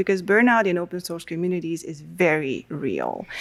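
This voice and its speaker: A woman with a plain, everyday voice talks at a moderate pace and a fairly low pitch, with ordinary pitch variation. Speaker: conference speaker. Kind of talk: conference talk. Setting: stage with audience.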